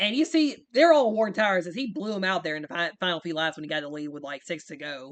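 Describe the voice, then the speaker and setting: A man at a very fast pace. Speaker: sim racing league host and commentator. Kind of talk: video game race recap commentary. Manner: casual, filler-heavy.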